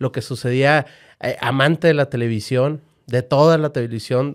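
A man speaks in a normal speaking voice at a fairly high pitch and a fairly slow pace. His intonation is fairly even, and the background is quiet. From Monterrey, Nuevo León, Mexico. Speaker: football fan and online community co-founder; podcast guest. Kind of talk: casual chat. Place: studio. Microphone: studio mic.

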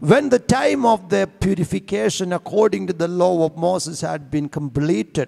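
Against a quiet background, a man speaks at a moderate pace. His tone is dark and mellow. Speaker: church reader or preacher. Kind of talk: scripture reading. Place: church. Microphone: handheld.

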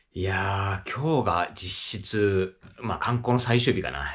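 Over a quiet background, a man talks with a fairly low pitch. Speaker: solo travel vlogger. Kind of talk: casual vlog chat. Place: home room. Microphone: phone near.

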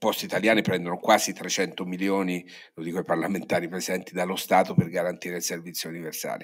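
Against a quiet background, a man's speech runs fairly quickly. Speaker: newspaper editor. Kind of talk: conference talk. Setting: stage with audience. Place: hall. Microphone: podium.

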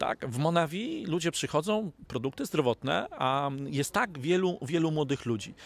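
A man's fairly high voice with lively intonation at a moderate pace, hardly any pauses, and a dry sound with no echo. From Poland. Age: 40s. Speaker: network marketing distributor. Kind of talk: interview. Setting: studio. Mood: upbeat, optimistic. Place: garden. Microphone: handheld.

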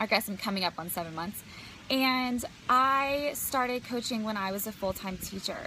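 The recording is dry with no echo and has light background noise. A woman speaks at a moderate pace with ordinary pitch variation. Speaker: business coach. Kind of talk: casual vlog chat. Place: garden. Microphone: phone near.

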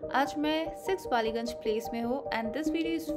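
Loud music plays in the background. Over it, a woman speaks at a moderate pace. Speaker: travel vlogger. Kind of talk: casual vlog chat. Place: street. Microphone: phone near.

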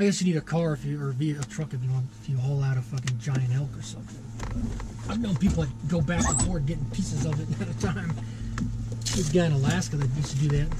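Very fast speech in a dry sound with no echo, with clear music in the background. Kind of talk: casual chat. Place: open country. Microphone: camera far.

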